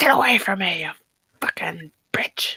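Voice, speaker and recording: A raspy, put-on character voice at a moderate pace. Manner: nasty, snarling.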